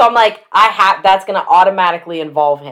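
A woman with an ordinary speaking voice talks at a fairly quick pace. Her pitch sits in the medium range and varies in an ordinary way. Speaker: podcast host. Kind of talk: casual chat.

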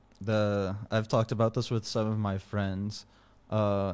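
With an American accent, a man talks at a moderate pace. His intonation is monotone and flat. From United States. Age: 20s. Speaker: programmer and meme page admin. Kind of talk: interview.

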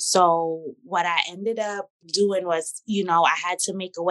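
With a New York accent, a woman talks in an animated tone at medium pitch, her sound dry and close with no echo against a quiet background. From Brooklyn, New York. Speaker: celebrity hairstylist. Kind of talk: casual chat.

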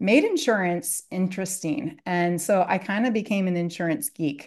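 Against a quiet background, a woman talks at a moderate pace and a medium pitch. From US Midwest, Columbus, Ohio area. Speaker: structured settlement consultant. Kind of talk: podcast interview.

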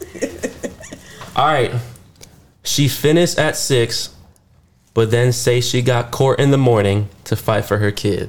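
A somewhat breathy man speaks at medium pitch with ordinary pitch variation and very even loudness. His pace is fairly slow, broken by long, frequent pauses. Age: 20s. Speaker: podcast host. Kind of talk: casual chat. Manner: animated.

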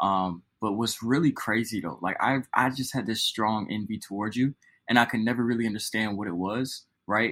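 A man with a normal speaking voice talks at a fairly quick pace, his medium pitch and fairly even intonation captured in a very clean recording against a silent background. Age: 20s. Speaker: podcast co-host. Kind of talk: casual chat.

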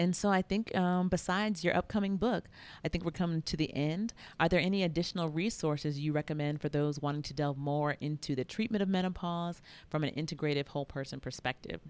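At a very fast pace, a woman talks in a fairly low pitch with ordinary pitch variation. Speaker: podcast host and integrative women's health provider. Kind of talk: interview conversation.

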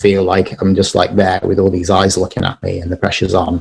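Here a man speaks with an English accent. His pitch is fairly low, and his pace is fairly quick. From England, Birmingham. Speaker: wedding and music photographer. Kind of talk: casual chat.

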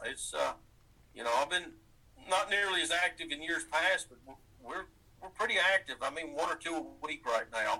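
Long, frequent pauses and big swings in loudness mark a man's speech at a moderate pace. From East Tennessee, US. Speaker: wrestling fan and guest. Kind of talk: casual interview.

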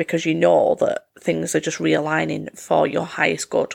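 A man puts on a croaky character voice at a moderate pace. His loudness stays very even.

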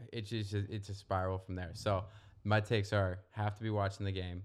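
Fairly even intonation marks a man's fairly low, normal speaking voice, recorded very cleanly against a silent background. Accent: American. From Northern Virginia, US. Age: 30s. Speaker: real estate professional. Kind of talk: casual chat.

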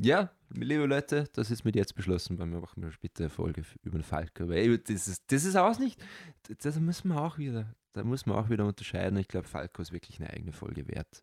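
This man's fairly low voice makes very wide pitch swings at a fairly quick pace, with a dry, close sound and no echo. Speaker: podcast co-host. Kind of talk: casual chat.

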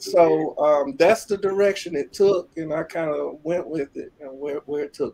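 With big swings in loudness and hardly any pauses, a man speaks at a moderate pace in a fairly high pitch and a dark, mellow tone. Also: ordinary pitch variation. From Alabama, Birmingham. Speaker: keyboardist and producer. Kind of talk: interview. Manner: halting.

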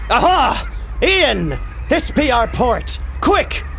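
A put-on character voice moves at a very slow pace. Clear background noise runs underneath. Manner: exclaiming, playful.

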